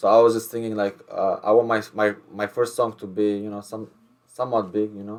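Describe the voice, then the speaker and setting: A man speaks with an Albanian accent at a fairly quick pace. His pitch is fairly low. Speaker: rapper. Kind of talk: casual interview chat. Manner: halting, many repeated words.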